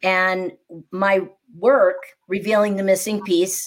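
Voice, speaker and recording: A woman speaks with a plain, everyday voice in an American accent. Her pitch is medium, with ordinary variation. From US Midwest, Naperville near Chicago. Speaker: speaking coach and entrepreneur. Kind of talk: podcast interview.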